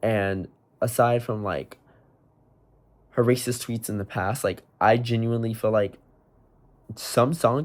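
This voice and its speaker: On a very clean recording with a silent background, a man speaks at a fairly slow pace with ordinary pitch variation. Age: 20s. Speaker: aspiring indie pop artist, vlogger. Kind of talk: casual vlog monologue. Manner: hesitant, many fillers.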